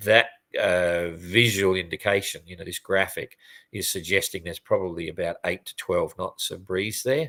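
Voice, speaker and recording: The recording is very clean, with a silent background. A man's voice sounds dry and close, without any echo. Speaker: sailing race commentator. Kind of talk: live race update commentary. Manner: fast; casual, hesitant with fillers.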